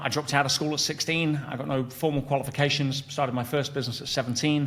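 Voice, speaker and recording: An English accent at a moderate pace, with fairly even intonation. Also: man. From England. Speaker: entrepreneur and coach. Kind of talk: interview conversation. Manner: hesitant with frequent fillers and restarts.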